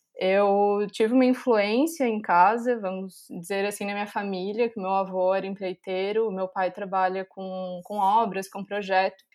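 In a very clean recording with a silent background, a woman with a normal speaking voice talks at a fairly slow pace with hardly any pauses, her medium pitch held in fairly even intonation. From Brazil, Florianópolis, Santa Catarina. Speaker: civil engineer, master's student. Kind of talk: casual interview.

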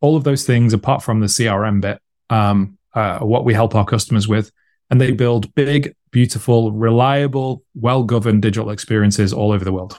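On a very clean recording with a silent background, a man with a British accent talks at a fairly quick pace, using a medium pitch and ordinary pitch variation. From United Kingdom. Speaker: marketing executive. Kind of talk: interview, casual chat.

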